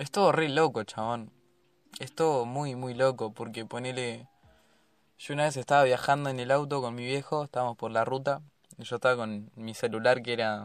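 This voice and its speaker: With a Rioplatense accent, a man talks in a fairly even intonation. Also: medium pitch for a man, moderate pace, big swings in loudness. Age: young. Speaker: podcast host. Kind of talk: casual chat.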